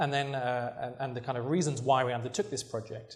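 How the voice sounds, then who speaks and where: In a room with audible echo, a man talks with a British accent. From Britain. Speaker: researcher and journalist. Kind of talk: lecture.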